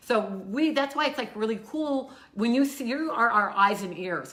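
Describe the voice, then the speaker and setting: A woman speaks at a fairly high pitch with ordinary pitch variation. There is audible room echo and noticeable background noise. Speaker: local community live show co-host. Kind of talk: casual chat. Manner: loud. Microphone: no microphone worn, room audio.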